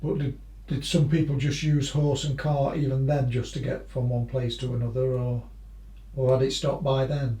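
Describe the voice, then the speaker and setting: There is noticeable background noise. Over it, a man speaks with monotone, flat intonation. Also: medium pitch for a man, moderate pace. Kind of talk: casual interview questions.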